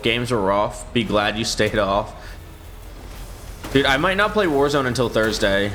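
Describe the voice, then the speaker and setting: A man speaks with fairly even intonation over noticeable background noise, with audible room echo. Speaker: gaming streamer. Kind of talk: casual live-stream chat while gaming. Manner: usually loud; quieter than usual today.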